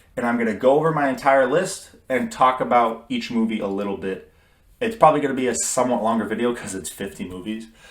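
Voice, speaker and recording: Audible room echo surrounds a man talking at a very fast pace. His pitch is medium and his intonation lively. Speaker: movie reviewer. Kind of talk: casual solo video review. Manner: stuttering, halting.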